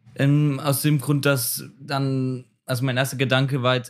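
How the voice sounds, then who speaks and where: A man talks fairly slowly. The recording is very clean, and the background is silent. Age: 20s. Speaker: trainee educator. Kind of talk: casual chat.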